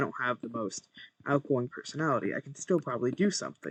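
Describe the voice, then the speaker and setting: Lively in intonation and fairly quick in pace, a man with an ordinary speaking voice is heard in a dry, close sound with no echo. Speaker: gaming streamer. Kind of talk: casual gameplay commentary.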